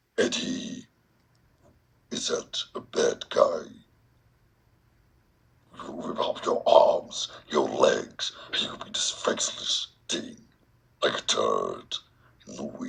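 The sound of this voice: A man's put-on character voice, growling and raspy, at a very slow pace with long, frequent pauses.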